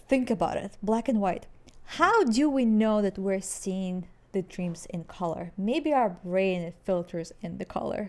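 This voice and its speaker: With a non-native accent, the woman talks at a fairly slow pace. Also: medium pitch for a woman, ordinary pitch variation. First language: not English. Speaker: podcast co-host. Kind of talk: casual chat.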